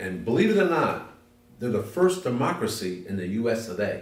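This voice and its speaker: A somewhat breathy man speaks at a medium pitch with very wide pitch swings, and audible room echo surrounds him. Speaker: interviewee. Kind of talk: interview.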